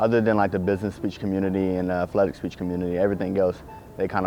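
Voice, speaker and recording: A man with a Southern US accent speaks at a very deep, low pitch. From US South. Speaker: student athlete. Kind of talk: interview answers.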